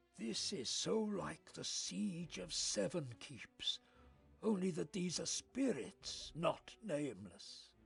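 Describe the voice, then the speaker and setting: Music plays behind a man using a put-on character voice, high in pitch and calm in tone. He speaks at a very slow pace. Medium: video game. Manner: calm, dignified.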